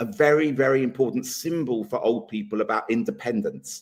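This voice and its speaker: With a normal speaking voice, this man has a medium pitch and lively intonation. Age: 60s. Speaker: political talk show co-host. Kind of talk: casual debate chat.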